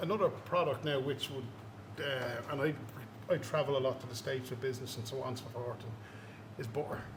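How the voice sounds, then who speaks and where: A man talks at a very fast pace, broken up by long, frequent pauses. Room echo is audible. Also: medium pitch for a man. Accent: Irish. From Ireland. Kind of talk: casual chat. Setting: brewery. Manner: animated.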